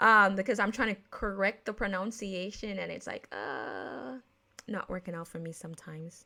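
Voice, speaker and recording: On a very clean recording with a silent background, a woman with an American accent has a bright, sharp tone, vocal fry and big swings in loudness. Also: medium pitch for a woman, ordinary pitch variation, moderate pace. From Jamaica. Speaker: podcast host. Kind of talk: casual podcast talk. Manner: casual, with many fillers and self-corrections.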